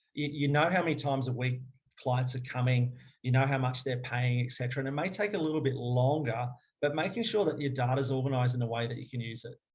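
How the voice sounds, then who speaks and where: A somewhat breathy man speaks at a very fast pace, his medium pitch moving with ordinary variation. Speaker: fitness business owner. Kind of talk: webinar presentation and Q&A.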